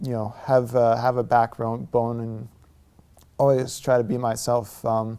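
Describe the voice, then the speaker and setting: At a fairly slow pace, a man with an American accent speaks at medium pitch in a dark, mellow tone with monotone, flat intonation. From US Northeast (New York / New Jersey), later California. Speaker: convert to Islam. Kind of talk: testimony. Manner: halting, many fillers.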